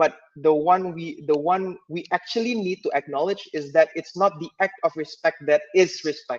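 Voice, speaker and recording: The man's voice sits high in pitch and moves at a moderate pace. The sound is dry and close, with no echo. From Indonesia. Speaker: panel speaker. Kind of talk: panel discussion. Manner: halting.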